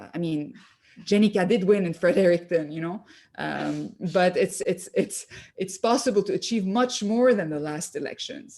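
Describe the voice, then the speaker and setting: In a French accent, a woman speaks at a moderate pace with lively intonation and a dark, mellow tone. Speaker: political leadership candidate. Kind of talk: interview. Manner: halting, many fillers.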